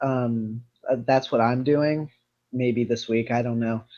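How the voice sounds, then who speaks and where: In a normal speaking voice with an American accent, a man talks at a fairly slow pace and a medium pitch. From United States. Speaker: gaming show host. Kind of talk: casual chat.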